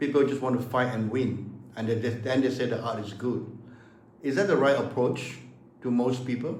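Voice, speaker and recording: A man at a moderate pace, fairly even in intonation, with audible room echo. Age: 70s. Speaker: martial arts master. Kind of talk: casual chat. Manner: halting.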